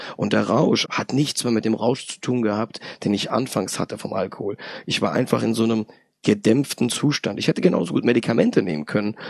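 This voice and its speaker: Speaking at a fairly quick pace, a man with a medium pitch and vocal fry shows ordinary pitch variation. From Hesse, Germany (Darmstadt). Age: 30s. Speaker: chemical plant supervisor, recovering alcoholic. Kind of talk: personal testimony interview.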